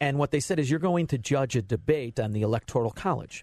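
A man with an American accent speaks somewhat breathily, his pitch swinging very widely over a quiet background. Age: 50s. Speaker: fill-in radio host. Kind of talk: talk radio. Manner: animated.

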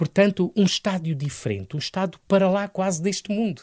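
Animated and energetic, a man talks at a moderate pace, the sound dry and close with no echo against a quiet background. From Angola, then Lisbon area, Portugal. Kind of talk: radio interview. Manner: animated, energetic.

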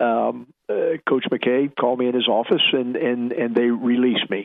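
Speaking at medium pitch and a moderate pace, a man talks with an American accent.

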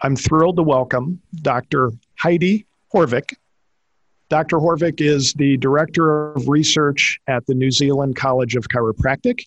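Fairly slow and fairly high-pitched, a man talks in a plain, everyday voice with ordinary pitch variation. The sound is dry and close with no echo, over a quiet background. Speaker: podcast co-host. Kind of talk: interview.

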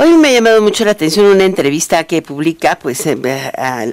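A woman speaks fairly quickly, her intonation lively. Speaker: radio news host. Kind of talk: radio news and interview.

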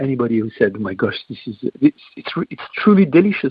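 A man's fairly high voice at a fairly quick pace, with lively intonation. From France. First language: French. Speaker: restaurateur and chef. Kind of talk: interview. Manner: halting.

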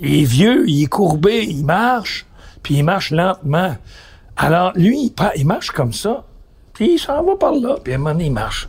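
A man's high voice with very wide pitch swings, at a fairly slow pace. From Quebec, east-end Montreal. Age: 70s. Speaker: radio host. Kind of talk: casual chat.

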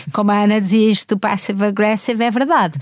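In a dry, close sound with no echo, a woman with a normal speaking voice talks at a fairly quick pace and a fairly high pitch. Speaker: writer and journalist. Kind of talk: casual chat.

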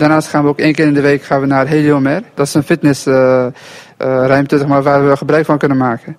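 A man's fairly high pitch, fairly quick pace and monotone, flat intonation. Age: 20s. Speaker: trainee electrician. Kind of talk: field interview. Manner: halting.

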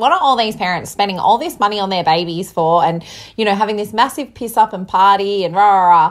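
In a whiny put-on character voice, a woman at a medium pitch talks very fast with ordinary pitch variation. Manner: whiny, negative.

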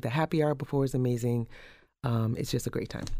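On a very clean recording with a silent background, a man speaks with a dark, mellow tone. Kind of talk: casual interview chat.

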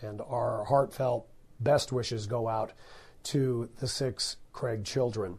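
A man's voice comes across with a dark, mellow tone and is somewhat breathy. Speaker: talk radio host and podcaster. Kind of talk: true crime news podcast narration. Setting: studio.

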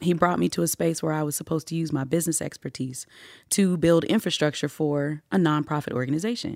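Someone speaks at a very fast pace with ordinary pitch variation on a very clean recording with a silent background. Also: woman, very deep, low pitch for a woman. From Atlanta, Georgia. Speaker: nonprofit program director. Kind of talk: casual interview. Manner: animated.

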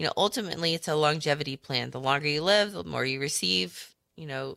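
A woman speaks with very deep, low pitch, a bright, sharp tone and vocal fry. The recording is very clean, with a silent background. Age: 40s. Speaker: financial advisor radio host. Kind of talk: radio talk show. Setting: studio.

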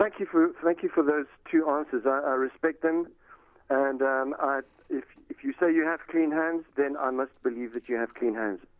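It's a man with an ordinary speaking voice, fairly high in pitch. He keeps a moderate pace with ordinary pitch variation. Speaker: caller. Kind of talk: heated call-in complaint. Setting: phone call. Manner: agitated.

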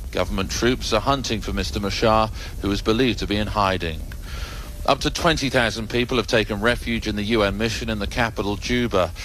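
There is noticeable background noise as a man with a fairly low pitch speaks at a fairly quick pace. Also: ordinary pitch variation. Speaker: foreign correspondent. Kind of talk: news report. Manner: measured, formal.

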